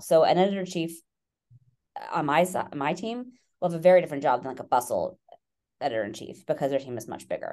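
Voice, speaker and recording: Talking at a very fast pace, a woman with a fairly low, dark, mellow voice makes very wide pitch swings. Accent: American. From New York City. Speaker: magazine editor-in-chief. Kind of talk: interview. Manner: hesitant, many fillers.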